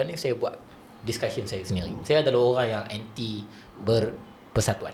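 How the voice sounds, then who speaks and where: The pace is fairly quick, and the pitch varies in an ordinary way. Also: man. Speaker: Quran teacher and speaker. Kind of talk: podcast interview.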